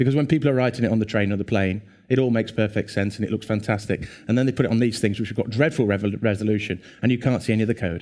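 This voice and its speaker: With an English accent, a man talks at a very fast pace, his pitch fairly low and its variation ordinary. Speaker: conference speaker. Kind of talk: conference talk. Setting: stage with audience. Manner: animated.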